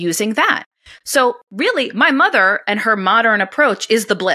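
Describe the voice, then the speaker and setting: Speaking in a New York accent, a woman with a fairly high pitch talks at a moderate pace in an animated tone with lively intonation. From New York, US, Italian-American family. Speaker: homesteading blogger and podcaster. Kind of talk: interview conversation.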